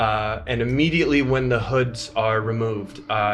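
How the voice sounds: A reading voice, natural in tone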